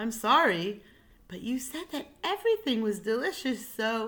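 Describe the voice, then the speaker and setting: A female-sounding voice in a put-on character voice is raised and projected, with a fairly high pitch and a moderate pace. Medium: read story.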